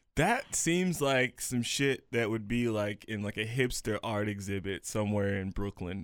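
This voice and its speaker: In a normal speaking voice, a man talks at a moderate pace with a fairly low pitch, ordinary pitch variation and hardly any pauses. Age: 20s. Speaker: podcast co-host. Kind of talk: show outro and plugs; casual chat. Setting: studio.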